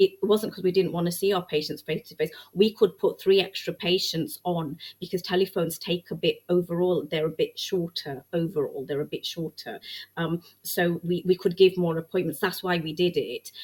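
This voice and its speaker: A woman with a fairly low pitch keeps her intonation fairly even, her voice somewhat breathy. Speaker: GP. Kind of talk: podcast interview. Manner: fast.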